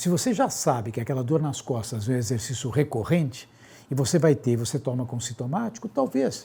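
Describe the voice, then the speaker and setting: Somewhat breathy and dark, mellow in tone, a man speaks at a fairly quick pace with ordinary pitch variation. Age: 60s. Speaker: physician. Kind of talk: interview.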